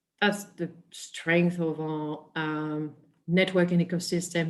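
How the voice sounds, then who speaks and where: Her pitch is fairly low, and this woman speaks with a French accent. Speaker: biotech industry presenter. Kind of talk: webinar presentation.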